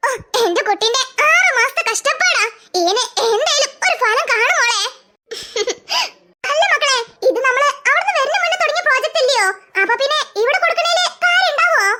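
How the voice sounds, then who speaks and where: In a cartoonish character voice, a woman talks at a moderate pace and an extremely high pitch, her intonation lively and her loudness very even. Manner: warm, motherly.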